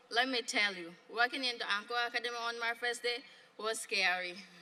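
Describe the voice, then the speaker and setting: Fairly high in pitch, a woman talks at a moderate pace with fairly even intonation. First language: not English. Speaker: graduating student speaker. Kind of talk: graduation speech. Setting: graduation ceremony with audience.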